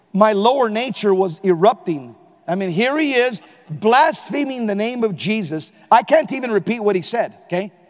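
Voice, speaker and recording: A man with an American accent speaks at a high pitch and moderate pace. His intonation is lively, and background noise is noticeable. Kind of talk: talk to a conference audience. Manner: high energy.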